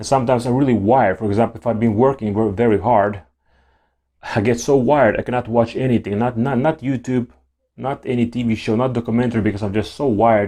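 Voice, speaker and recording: At a very fast pace, a man speaks with a medium pitch and a dark, mellow tone. His intonation is fairly even against a quiet background. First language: not English. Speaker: YouTuber talking about ADHD. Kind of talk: casual monologue to camera. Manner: halting, with repeated words and restarts.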